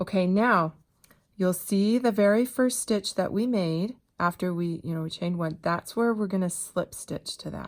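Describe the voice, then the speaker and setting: A woman speaks in a plain, everyday voice, medium in pitch, moving at a moderate pace with ordinary pitch variation. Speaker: crochet instructor. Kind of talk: tutorial. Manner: casual, conversational.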